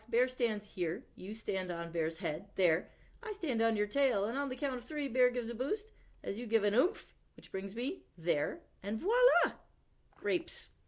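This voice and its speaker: A woman uses a put-on character voice at a fairly high pitch. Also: moderate pace. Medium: read story. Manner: smug, patronizing.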